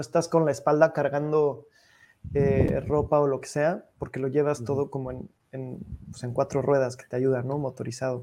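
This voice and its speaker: Pitched fairly high, a man speaks at a moderate pace in a dark, mellow tone. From Mexico. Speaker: podcast host. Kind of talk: casual interview chat.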